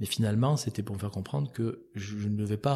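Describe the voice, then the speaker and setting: A dark, mellow, somewhat breathy tone at a fairly quick pace, with ordinary pitch variation. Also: man. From France, Cantal (Auvergne). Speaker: entrepreneur. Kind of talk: interview. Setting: at his café venue.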